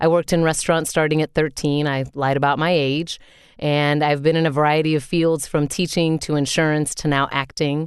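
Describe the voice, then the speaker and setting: The voice moves at a fairly quick pace in a flat monotone. The background is quiet. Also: woman. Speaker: voice actor. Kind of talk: reading aloud.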